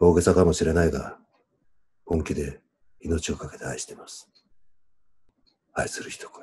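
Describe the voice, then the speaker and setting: Whispering at a moderate pace, a man leaves long, frequent pauses, his loudness swinging widely over light background noise. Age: 50s. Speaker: boyfriend reading romantic lines. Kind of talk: late-night radio style romantic reading. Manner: whispered, sweet. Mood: intimate, playful. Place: home room. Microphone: video call.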